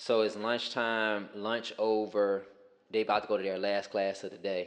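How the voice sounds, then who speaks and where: A man with an American accent, fairly low in pitch, monotone and flat, at a moderate pace. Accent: sounds country (self-remark). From Richmond, Virginia, US South. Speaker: former teacher. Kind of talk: casual podcast chat, storytelling.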